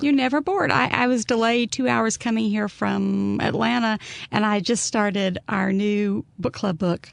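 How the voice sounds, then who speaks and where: Over noticeable background noise, a woman with an Alabama accent speaks at a medium pitch and moderate pace, her intonation lively and her loudness very even. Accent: Southern US (Alabama). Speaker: author. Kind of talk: interview answer.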